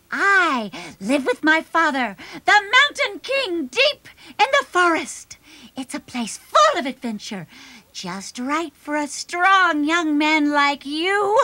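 A cartoonish character voice that sounds female comes out at an extremely high pitch and a fairly slow pace. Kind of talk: children's puppet show. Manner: sly, scheming.

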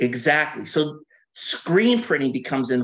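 A man's fairly high voice with an American accent, lively intonation, a moderate pace and a quiet background. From US West Coast, Washington state (Bothell). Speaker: artist. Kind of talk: lecture. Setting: video call. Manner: talkative, laughs often. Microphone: video call.

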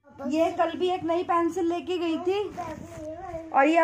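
Against noticeable background noise, a woman speaks at an extremely high pitch. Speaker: vlogger. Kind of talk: casual vlog chat. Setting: at home, lying down. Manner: drowsy.

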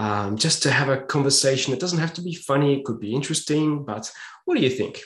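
A somewhat breathy man with an Australian accent, fairly high pitch, ordinary pitch variation and a very fast pace. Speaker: podcast host. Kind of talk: interview. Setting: video call. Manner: halting.

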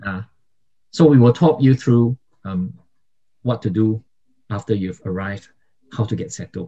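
A man with a fairly low, dark, mellow voice speaks at a moderate pace, somewhat breathy, with ordinary pitch variation. Long, frequent pauses break up his speech against a quiet background. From Singapore. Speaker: YouTuber and migration vlogger; podcast co-host. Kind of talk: casual chat. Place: home room. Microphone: studio mic.

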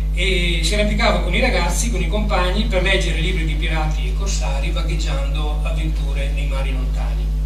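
Amid loud background noise and audible room echo, a man talks at a fairly quick pace with hardly any pauses. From Asiago plateau, Veneto, Italy. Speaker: writer and speaker on Rigoni Stern. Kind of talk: conference lecture. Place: hall.

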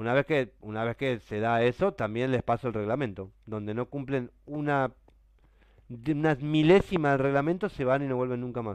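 With a Rioplatense accent, a man speaks at a medium pitch and a moderate pace, with ordinary pitch variation. The sound is dry with no echo, over a quiet background. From Argentina. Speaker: gaming streamer. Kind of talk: live stream chat while gaming. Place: home room.

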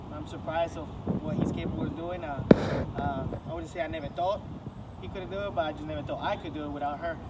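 A man races along at a very fast pace against loud background noise. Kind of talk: testimonial. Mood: grateful, pleased. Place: street. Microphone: camera far.

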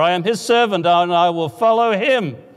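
A man at a moderate pace with ordinary pitch variation and a quiet background. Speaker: preacher. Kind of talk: sermon. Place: church. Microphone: lapel.

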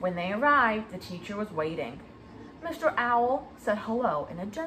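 The reading voice sounds unforced, and its intonation is lively.

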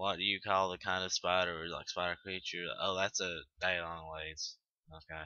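A man with a Southern US accent speaks in a very deep, low voice. His intonation is monotone and flat. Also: moderate pace. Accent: Southern American. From Tennessee, Southern US. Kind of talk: casual talk to camera. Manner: casual, hesitant.

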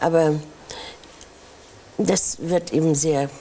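With ordinary pitch variation, a woman speaks at a very deep, low pitch. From Hamburg. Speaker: actress. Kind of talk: interview answer.

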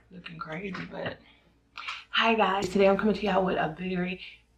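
A woman speaks at a medium pitch over loud background noise. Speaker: mukbang / eating show host. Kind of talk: casual talk to camera. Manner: soft-spoken. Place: home room. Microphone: phone near.

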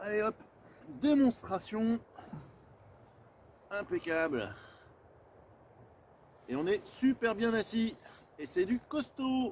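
A man speaks slowly at a high pitch, his tone slightly mellow. His pitch swings widely, and he takes long, frequent pauses.

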